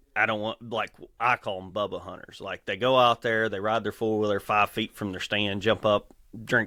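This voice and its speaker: A man's fairly low, monotone voice in flat intonation, with a Kentucky accent. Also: moderate pace. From Kentucky, rural farmland. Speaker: electrical lineman and endurance athlete. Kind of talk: podcast interview.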